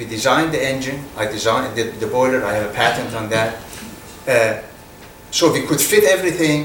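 Noticeable background noise sits behind a man with a Persian accent. He talks at a moderate pace with ordinary pitch variation. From Iran. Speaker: business executive. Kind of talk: fireside chat interview. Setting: stage with audience.

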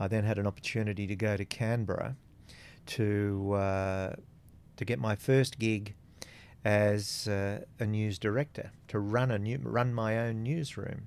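A man speaks at a fairly slow pace with an Australian accent, his fairly low pitch held in fairly even intonation, on a very clean recording with a silent background. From Australia, small country town. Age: 60s. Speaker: former radio executive and community board chair. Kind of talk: casual interview. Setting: radio studio.

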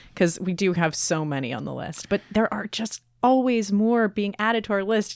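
In a very clean recording with a silent background, a woman uses an ordinary speaking voice, ordinary pitch variation and a fairly quick pace. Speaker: podcast host. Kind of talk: casual chat.

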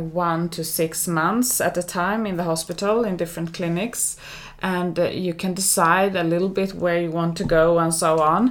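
At a moderate pace, a woman with a Swedish accent speaks with fairly even intonation. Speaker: general practitioner. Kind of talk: interview.

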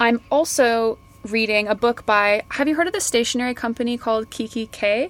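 Speaking with a Canadian accent, a woman uses a plain, everyday voice, fairly high in pitch, with ordinary pitch variation and a fairly quick pace. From Canada, Kelowna near Vancouver. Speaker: fashion marketer and podcaster. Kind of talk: casual interview. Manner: laughs often.

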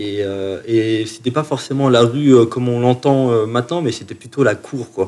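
A man's medium-pitched voice with a dark, mellow tone, ordinary pitch variation, a fairly slow pace and hardly any pauses. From France, Chalon-sur-Saône (Burgundy). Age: 30s. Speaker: musician. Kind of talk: interview. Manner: halting, many repetitions.

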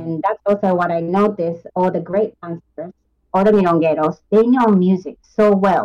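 Recorded with a dry, close sound and no echo, a woman speaks at a moderate pace. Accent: Japanese. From Japan. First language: Japanese. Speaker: tango teacher. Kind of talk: interview.

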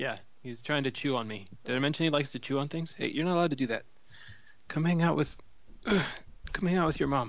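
Speaking with an American accent, a man with a fairly high voice talks at a very fast pace and ordinary pitch variation. He leaves long, frequent pauses. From US Midwest, Cleveland. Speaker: podcast co-host. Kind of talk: casual chat. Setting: phone call.

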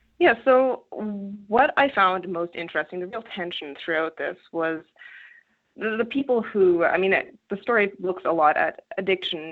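A woman with a Canadian accent talks at a moderate pace and medium pitch, with lively intonation. It is an ordinary speaking voice. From rural Canada. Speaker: journalist. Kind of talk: interview.

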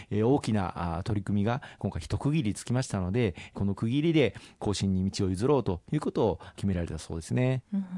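The voice has a dark, mellow tone and lively intonation, moving at a fairly quick pace over a quiet background. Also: man. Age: 40s. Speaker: politician. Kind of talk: radio interview. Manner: formal; hesitant with filler words.

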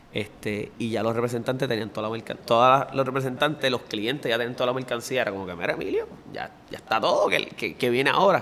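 Very fast speech in a Puerto Rican accent, with ordinary pitch variation over noticeable background noise. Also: man. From Puerto Rico, Bayamón. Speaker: clothing brand founder. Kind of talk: interview.

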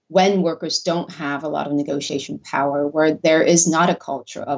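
The woman's pitch is very deep and low. She keeps to a moderate speed. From South Korea, with some childhood years in the US. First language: Korean. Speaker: sociology professor. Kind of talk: interview.

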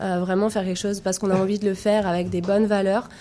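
Her intonation flat and monotone, a woman speaks at a medium pitch. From France. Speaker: tech entrepreneur, founder. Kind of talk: radio interview.

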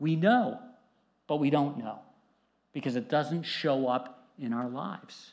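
Against a quiet background, a man with a fairly high pitch talks at a fairly slow pace. His tone is animated, with ordinary pitch variation. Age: 50s. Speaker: pastor. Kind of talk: sermon.

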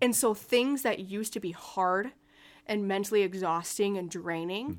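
The recording is very clean, with a silent background. A woman with a normal speaking voice and medium pitch moves at a moderate pace with fairly even intonation. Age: 20s. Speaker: therapeutic coach and gym owner. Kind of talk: casual interview.

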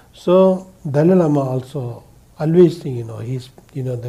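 This man's fairly high voice has a dark, mellow, somewhat breathy tone, with ordinary pitch variation and a moderate pace. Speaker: Buddhist teacher and school founder. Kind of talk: public Dharma talk with Q&A. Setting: live event with audience. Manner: halting, simple English.

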